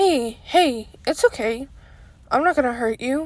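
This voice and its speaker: In a put-on character voice, a woman talks at a fairly slow pace with a high pitch. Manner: calm, soothing.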